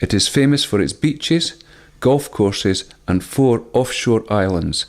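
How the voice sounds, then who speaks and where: An unremarkable speaking voice with lively intonation moves at a fairly slow pace, its loudness very even throughout. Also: man, medium pitch for a man. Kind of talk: documentary narration.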